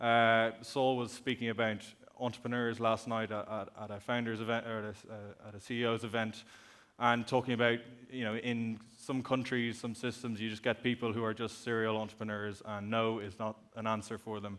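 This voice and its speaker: In an Irish accent, a man of medium pitch speaks at a moderate pace with monotone, flat intonation. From Ireland. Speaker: company executive, conference speaker. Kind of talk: conference talk.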